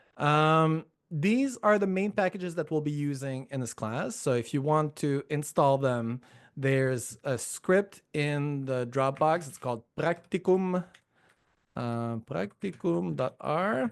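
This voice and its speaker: A man with a Quebec accent, very slow and lively in intonation, against a quiet background. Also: fairly high pitch for a man. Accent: Quebecois. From Quebec, Montreal. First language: French. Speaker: professor. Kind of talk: lecture. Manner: many filler words.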